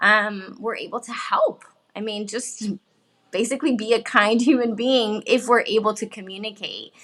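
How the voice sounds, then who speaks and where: A woman with an American accent speaks at a moderate pace and a fairly high pitch. Her intonation is fairly even, yet her loudness swings widely. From Miami, Florida. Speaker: bilingual parenting expert. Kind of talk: interview. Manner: halting.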